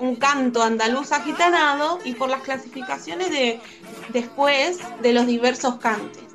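A speaker with an Argentine accent is heard with music in the background. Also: woman. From Comodoro Rivadavia, Argentina. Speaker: flamenco dancer and singer. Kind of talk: interview answer.

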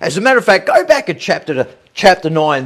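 In an Australian accent, a man speaks at a fairly quick pace with very wide pitch swings over a quiet background. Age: 50s. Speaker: pastor. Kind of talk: online evening devotional. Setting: livestream. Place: home room. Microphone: phone near.

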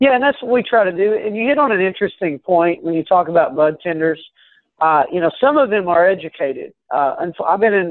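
Talking at a very fast pace with lively intonation, a man with an American accent is heard over a quiet background in a dry sound with no echo. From Kentucky. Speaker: cannabis business executive. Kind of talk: interview. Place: office. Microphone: video call.

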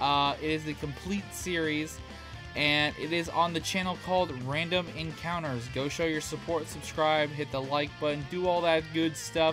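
With ordinary pitch variation and a moderate pace, a man talks while clear music plays behind him. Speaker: reaction youtuber. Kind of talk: casual vlog chat. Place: home room.

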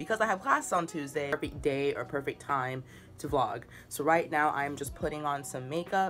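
Faint music plays in the background as a woman speaks at a moderate pace. Her voice is very deep and low, with ordinary pitch variation. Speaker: vlogger. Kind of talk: casual vlog chat. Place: home room. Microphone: phone near.

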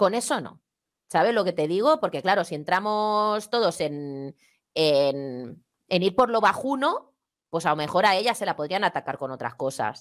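Against a quiet background, a woman talks at a moderate pace with very wide pitch swings. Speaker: YouTuber; guest commentator. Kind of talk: casual chat. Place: home room. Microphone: headset.

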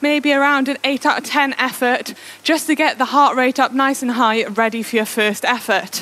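Raised and projected, a woman's voice keeps fairly even intonation and very even loudness. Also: moderate pace. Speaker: indoor cycling coach. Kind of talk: workout instruction. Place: home room. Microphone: headset.

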